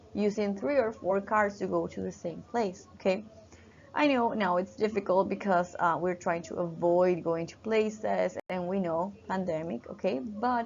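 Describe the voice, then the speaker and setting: At a moderate pace, someone talks with a Spanish accent. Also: woman, medium pitch for a woman, ordinary pitch variation. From Peru. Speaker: university teacher. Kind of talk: lecture. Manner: halting, many fillers.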